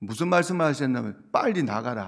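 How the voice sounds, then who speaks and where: This man's voice is fairly high-pitched, with lively intonation at a fairly quick pace. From South Korea, Busan. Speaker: pastor. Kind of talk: sermon. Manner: conversational, asks congregation questions.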